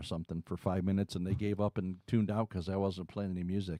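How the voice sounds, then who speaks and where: A man with an American accent talks at a very fast pace in a very deep, low voice with a dark, mellow tone and fairly even intonation. The recording is very clean, with a silent background and a dry, close sound with no echo. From Detroit area, Michigan. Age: 60s. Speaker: singer-songwriter. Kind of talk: casual chat. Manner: talkative.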